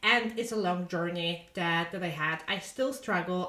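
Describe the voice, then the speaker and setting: A woman speaks at a moderate pace and medium pitch with a non-native accent. Her pitch variation is ordinary, with noticeable background noise around her. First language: Polish. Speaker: podcast host and author. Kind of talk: casual podcast monologue. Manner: halting, with fillers and repeated words.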